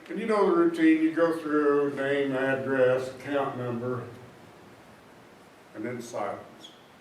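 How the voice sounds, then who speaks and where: Amid noticeable background noise and audible room echo, a man with a fairly high voice and ordinary pitch variation speaks at a fairly slow pace, with long, frequent pauses. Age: 80s+. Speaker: author. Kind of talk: panel talk.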